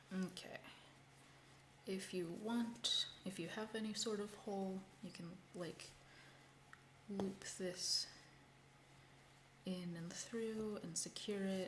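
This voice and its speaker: A soft-spoken woman at a medium pitch, very slow, with long, frequent pauses, fairly even intonation, audible room echo and noticeable background noise. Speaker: crochet content creator. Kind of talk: casual craft livestream tutorial. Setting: livestream at home.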